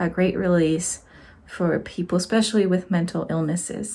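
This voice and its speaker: Recorded very cleanly against a silent background, a woman with a medium pitch speaks in a Spanish accent. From Mexico. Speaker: crochet teacher and support worker. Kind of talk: casual vlog talk.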